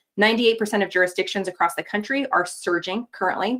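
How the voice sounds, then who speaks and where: The woman talks at a very fast pace. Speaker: public health doctor. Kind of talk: presentation with slides.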